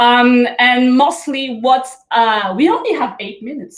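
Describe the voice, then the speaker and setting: The speaker has a French Caribbean accent and talks at a fairly slow pace. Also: woman. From Guadeloupe. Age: young. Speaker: life coach. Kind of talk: motivational talk. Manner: hesitant, many fillers.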